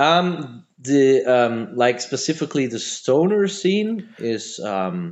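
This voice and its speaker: A man's fairly high voice with a Flemish accent, very wide pitch swings and a very slow pace. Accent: Flemish Belgian English. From Belgium, Antwerp area (Flemish). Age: 40s. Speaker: metal band musician. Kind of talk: casual interview chat. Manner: halting, many fillers and repetitions.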